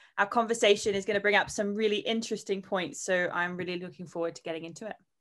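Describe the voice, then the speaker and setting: Against a quiet background, a woman with an Australian accent speaks at medium pitch in a bright, sharp tone with fairly even intonation. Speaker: fitness software sales leader. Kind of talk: interview.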